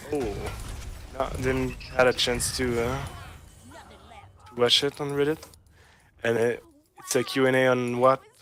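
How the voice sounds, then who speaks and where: With music in the background, a man in a French accent talks at a moderate pace and medium pitch, his intonation monotone and flat, his loudness swinging widely, and long pauses coming often. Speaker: student esports champion. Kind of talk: casual interview while gaming. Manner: halting.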